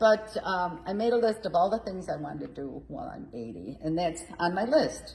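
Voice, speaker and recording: With hardly any pauses, a woman speaks at a moderate pace and medium pitch, showing very wide pitch swings and big swings in loudness over noticeable background noise. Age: 80s+. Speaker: community theater group president. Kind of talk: casual interview.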